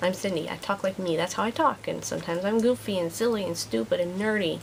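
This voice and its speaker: At a fairly quick pace, a woman speaks at medium pitch with lively intonation. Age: 30s. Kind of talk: vlog monologue. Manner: stumbles on words sometimes; youthful, teen-like way of talking.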